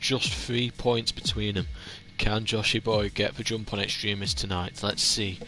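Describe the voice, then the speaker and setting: With a northern English accent, a man speaks in a fairly low, bright, sharp voice with vocal fry and ordinary pitch variation. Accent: northern English drawl. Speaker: sim racing league commentator. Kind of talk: live race commentary preview. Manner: hesitant, many fillers.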